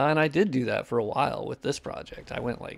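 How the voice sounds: Speaking at a moderate pace, a man sounds nasal with vocal fry and ordinary pitch variation.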